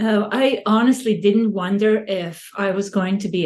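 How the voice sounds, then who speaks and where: The speaker talks at a fairly slow pace with a non-native accent. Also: woman. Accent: foreign. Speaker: podcast host. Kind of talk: interview.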